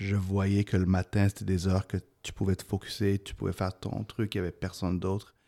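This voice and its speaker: A man's very deep, low voice with a dark, mellow tone stays flat and monotone, sounding dry and close with no echo on a very clean recording with a silent background. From Quebec, arrived from Egypt aged 10. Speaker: tech company CEO. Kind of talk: casual chat.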